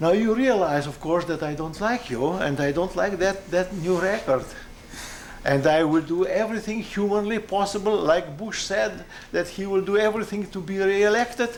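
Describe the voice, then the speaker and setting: A man's high-pitched voice with a non-native accent, ordinary pitch variation, a moderate pace and noticeable background noise. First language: not English. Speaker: aircraft designer. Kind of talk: technical conversation. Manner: halting.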